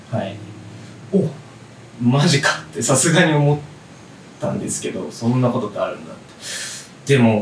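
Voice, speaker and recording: A man talks at a fairly quick pace in a medium pitch, with very wide pitch swings, big swings in loudness, and long, frequent pauses. Audible room echo and noticeable background noise fill the recording. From Okinawa, Japan. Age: 20s. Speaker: novelist and poet. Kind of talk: casual chat.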